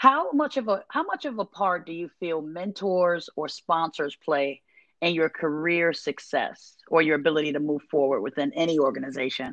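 A woman with a normal speaking voice talks at a moderate pace and a fairly low pitch, with hardly any pauses. Her intonation is lively, and the sound is dry and close with no echo. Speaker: podcast host. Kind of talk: interview, casual chat.

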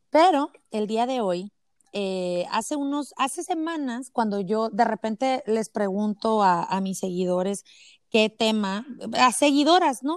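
In a very clean recording with a silent background and a dry, close sound with no echo, a woman speaks at a fairly slow pace with fairly high pitch and lively intonation. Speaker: podcast host, mother. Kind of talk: casual interview chat.

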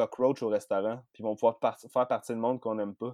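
A man with a Quebec accent at a fairly quick pace. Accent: Québécois French. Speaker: podcast guest, horror film fan. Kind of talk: casual chat.

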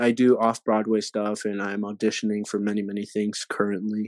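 An American-accented man speaks at a moderate pace with a dry, close sound with no echo. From Texas. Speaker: podcast co-host and actor. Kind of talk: casual chat. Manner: halting, many fillers.

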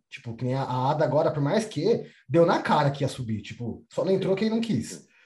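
A man's fairly high voice with lively intonation. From São Paulo, Brazil. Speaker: podcast host. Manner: animated, slangy.

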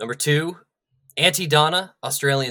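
A man speaks with a bright, sharp tone. The recording is very clean and the background silent. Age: 30s. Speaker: podcast guest. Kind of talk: casual chat.

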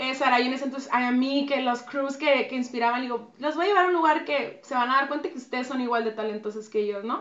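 Fairly quick, high-pitched female voice. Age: 30s. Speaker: dance choreographer. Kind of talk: interview.

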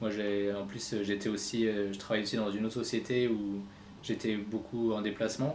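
Audible room echo surrounds a man speaking at a fairly low pitch. His intonation is monotone and flat, at a moderate pace. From France, Reims. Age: 30s. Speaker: web entrepreneur. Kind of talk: interview.

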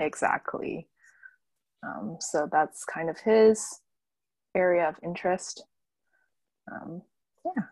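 Speaking at a very slow pace with long, frequent pauses, a woman with a western Canadian accent uses lively intonation and a medium pitch while her loudness swings widely. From Canada, Vancouver suburbs. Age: 20s. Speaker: brand photographer. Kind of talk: casual interview chat.

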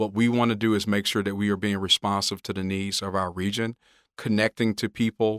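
A man's fairly low, monotone, flat voice with a Mississippi accent, at a fairly quick pace, on a very clean, silent recording with a dry, close sound and no echo. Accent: US Southern (Mississippi). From rural Mississippi (Hazlehurst area). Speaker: federal agency chairman. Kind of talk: interview. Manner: halting, many fillers.

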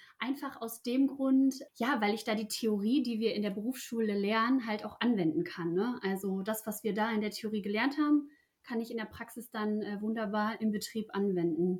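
A woman speaks at a moderate pace in a fairly high pitch with ordinary pitch variation. It is a normal speaking voice. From Ruhr area, Germany. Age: 20s. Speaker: apprentice. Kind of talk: interview.

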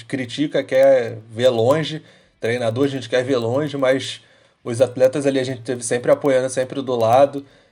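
A man's medium-pitched voice, dark and mellow in tone, at a moderate pace, on a very clean recording with a silent background. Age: 20s. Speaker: football fan podcast co-host. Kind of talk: casual chat.

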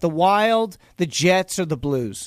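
A man with an American accent speaks at a high pitch. His intonation is lively. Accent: faint Boston accent, mostly hidden. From Boston area. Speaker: fill-in sports radio host. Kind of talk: sports talk radio.

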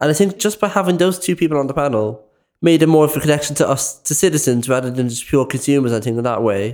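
Here a man speaks at a very fast pace with a Dublin accent, at a fairly high pitch with ordinary pitch variation. The recording is very clean, with a silent background. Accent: Dublin Irish. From Ireland, west Dublin. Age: 20s. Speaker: youth volunteer podcaster. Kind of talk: casual discussion.

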